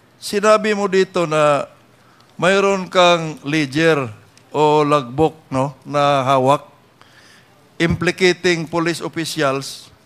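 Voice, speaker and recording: At a very slow pace, a man talks at a fairly high pitch with ordinary pitch variation. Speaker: congressman at hearing. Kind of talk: legislative hearing questioning.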